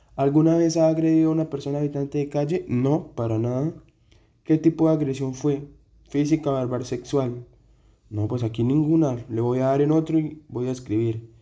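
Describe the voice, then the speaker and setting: At a moderate pace, a man speaks with a dark, mellow tone, a fairly high pitch and fairly even intonation. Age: 20s. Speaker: social work student. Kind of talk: read-aloud survey answers. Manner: hesitant with fillers.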